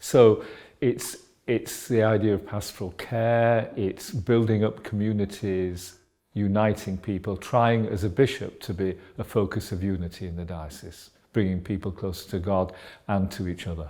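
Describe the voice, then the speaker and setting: The recording is very clean, with a silent background, as a man with a Yorkshire accent talks at a moderate pace. His pitch is fairly low, his tone dark and mellow, and his intonation fairly even. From Yorkshire, England. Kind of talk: interview. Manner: halting, many fillers.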